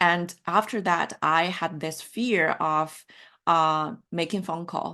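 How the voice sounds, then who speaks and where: Very slowly, a woman speaks in a Mandarin accent with a bright, sharp tone and a fairly low pitch. Her intonation is fairly even, over a quiet background. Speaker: life coach. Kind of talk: online workshop session.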